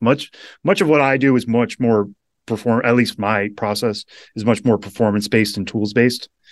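With an unremarkable speaking voice, a man at a medium pitch talks at a fairly quick pace with fairly even intonation against a quiet background. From Western Massachusetts. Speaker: baseball prospect reporter. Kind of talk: casual interview.

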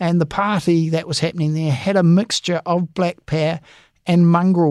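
With a high pitch and ordinary pitch variation, a man speaks at a moderate pace in a dry, close sound with no echo. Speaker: police association head, former detective. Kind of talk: interview.

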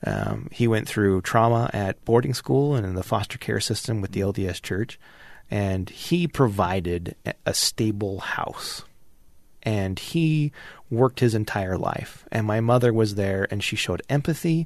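Against a quiet background, a man with an American accent and an unremarkable speaking voice talks at a moderate pace and a fairly low pitch with lively intonation. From Utah (Kearns, Salt Lake area). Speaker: political candidate, college professor. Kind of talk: interview.

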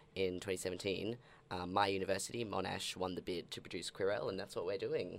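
In an Australian accent, a man speaks with a very deep, low pitch at a moderate pace. His intonation is monotone and flat, on a very clean recording with a silent background. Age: 20s. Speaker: guest from queer magazine. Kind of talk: casual chat.

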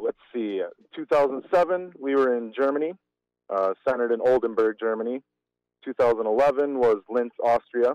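In a plain, everyday voice, a man speaks at a moderate pace and medium pitch with ordinary pitch variation, the sound dry and close with no echo. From Wisconsin, Germantown. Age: 30s. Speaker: fistball player. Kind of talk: casual interview.

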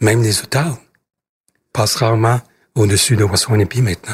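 A somewhat breathy voice in a Canadian accent, fairly slow, with fairly even intonation. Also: man, dry, close sound with no echo. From northern Quebec, Cree territory. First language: Cree (speaking French). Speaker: politician. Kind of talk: interview. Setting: parliament office. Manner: halting, frequent repetitions.

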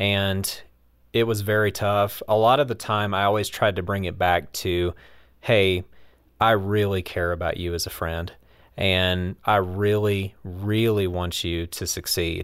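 In an ordinary speaking voice, a man talks at a fairly slow pace with fairly low pitch and fairly even intonation. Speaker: roundtable panelist. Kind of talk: casual roundtable chat.

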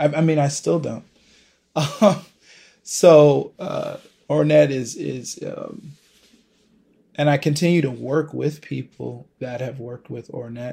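A man speaks with an American accent. His pace is very slow, with long, frequent pauses. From Buffalo, New York. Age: 30s. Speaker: jazz saxophonist. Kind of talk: casual interview. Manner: halting, many fillers and repeats.

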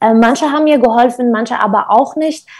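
A woman speaks at a moderate pace with high pitch and fairly even intonation. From Syria, Kurdish north (Qamishli). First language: Kurdish (speaking German). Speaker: nonprofit founder. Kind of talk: interview. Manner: hesitant, many filler sounds.

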